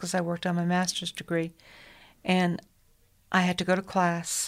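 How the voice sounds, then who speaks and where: The recording is very clean and the background silent. Her voice sits at a medium pitch for a woman. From Connecticut, US New England. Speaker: hospital chaplain. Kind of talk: radio interview. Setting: studio.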